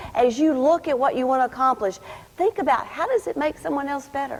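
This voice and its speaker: A woman with a high pitch speaks in a Kentucky accent. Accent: Kentucky accent, others made fun of it. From US South, rural Kentucky (Adair County). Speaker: program director giving graduation speech. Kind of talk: commencement speech. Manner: animated, inspirational.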